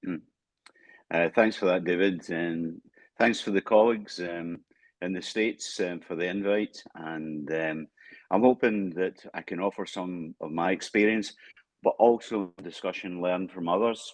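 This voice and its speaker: A man with a Scottish accent and a very deep, low pitch at a fairly slow pace, fairly even intonation, quiet background. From Scotland. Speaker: international assessment consultant. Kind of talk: panel discussion.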